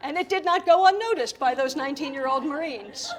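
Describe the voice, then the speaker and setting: A woman with a Philadelphia accent, an animated tone and lively intonation. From US, Philadelphia. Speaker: keynote speaker and comedian. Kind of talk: keynote speech.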